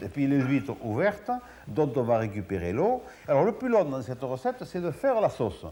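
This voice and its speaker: At a moderate pace, a man with a fairly high pitch makes very wide pitch swings. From Gers, south-west France. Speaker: chef. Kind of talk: TV cooking show explanation.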